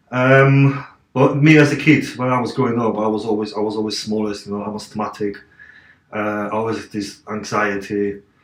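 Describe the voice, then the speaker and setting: A man's fairly low voice at a moderate pace, fairly even in intonation but with big swings in loudness. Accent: Eastern European. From Poland, Katowice. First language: Polish. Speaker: interview guest, fitness personality. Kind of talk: interview. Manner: halting.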